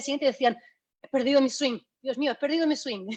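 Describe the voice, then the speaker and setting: Against a quiet background, a woman with a high pitch talks very fast with ordinary pitch variation. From Spain. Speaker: golf fitness trainer. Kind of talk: online talk. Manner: hesitant, many fillers.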